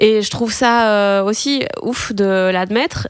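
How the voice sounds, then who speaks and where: This is a woman's voice. Her pitch is fairly high. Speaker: comedian, podcast host. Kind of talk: podcast interview questions.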